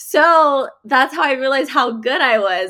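On a very clean recording with a silent background, a woman with an American accent uses a raised, projected voice, high pitch, lively intonation and a bright, sharp tone. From Texas. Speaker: singer-songwriter. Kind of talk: interview.

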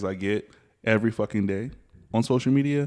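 A man's medium-pitched, normal speaking voice with ordinary pitch variation against a quiet background. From US South. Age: 30s. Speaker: podcast host. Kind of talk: casual chat.

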